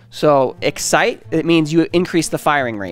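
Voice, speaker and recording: With faint music in the background, a man talks in a dry sound with no echo. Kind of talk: lecture. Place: studio. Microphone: headset.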